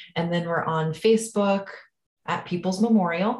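This woman has an unremarkable speaking voice. She talks at a moderate pace, and her pitch varies in an ordinary way. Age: 30s. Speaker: nonprofit executive director. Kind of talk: interview.

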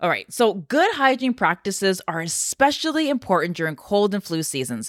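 A woman with a medium pitch speaks at a moderate pace in an animated, energetic tone, her pitch swinging very widely. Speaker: podcast host. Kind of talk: casual health talk to listeners. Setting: home office recording.

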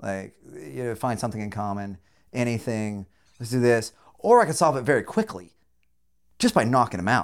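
A man with a General American accent speaks at a medium pitch. His speech has long, frequent pauses. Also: ordinary pitch variation. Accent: general American, deliberately enunciated. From rural Southern California. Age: 40s. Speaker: podcast host. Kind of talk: casual chat, profane.

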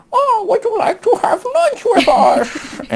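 A put-on character voice pitched extremely high speaks at a fairly slow pace. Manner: polite, friendly.

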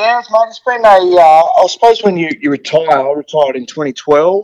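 The speaker has an Australian accent and ordinary pitch variation. The sound is dry and close, with no echo. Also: man. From Tasmania. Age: 40s. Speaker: retired footballer. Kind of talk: interview. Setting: video call.

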